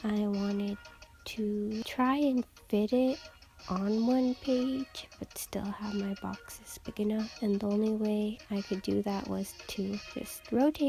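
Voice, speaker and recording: A woman's fairly high voice with fairly even intonation at a fairly slow pace, music playing in the background. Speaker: student. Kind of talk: casual voiceover for a bullet journal plan-with-me video. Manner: monotone.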